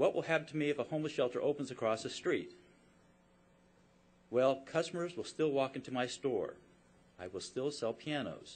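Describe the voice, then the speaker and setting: With a fairly high pitch and ordinary pitch variation, a man talks at a moderate pace broken by long, frequent pauses. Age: 60s. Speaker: business owner. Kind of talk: public testimony. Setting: public hearing. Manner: formal.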